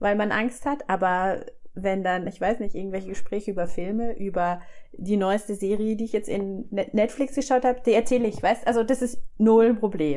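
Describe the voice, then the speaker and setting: This woman's voice has a dark, mellow tone. Its pitch is medium. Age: 40s. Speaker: podcast host. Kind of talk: interview.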